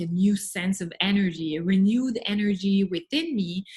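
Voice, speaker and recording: With a Montreal accent, a woman talks at a moderate pace in a somewhat breathy, medium-pitched voice with ordinary pitch variation. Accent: French Canadian (Montreal). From Quebec, Montreal. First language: French. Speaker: life and business coach. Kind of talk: interview.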